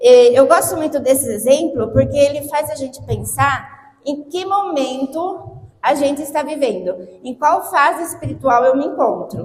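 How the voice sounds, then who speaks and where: Speaking at a fairly slow pace with hardly any pauses, a woman uses a high pitch and lively intonation. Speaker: lay preacher. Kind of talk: sermon. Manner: animated.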